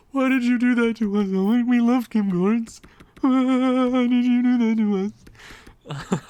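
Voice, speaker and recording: A female-sounding, put-on character voice speaks at a high pitch. The pace is fairly slow. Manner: yelling, complaining, dramatic.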